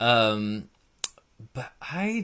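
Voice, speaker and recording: The background stays quiet. Against it, a man talks at a medium pitch. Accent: West Coast US. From Northern California. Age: 30s. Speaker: finance director. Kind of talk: casual interview.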